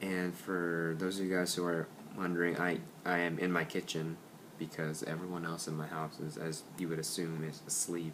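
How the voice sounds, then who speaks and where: In a very deep, low voice with monotone, flat intonation, a man speaks amid audible room echo. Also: moderate pace. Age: 20s. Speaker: student who stutters. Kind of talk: personal video introduction. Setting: home kitchen at night. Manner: quiet, late at night.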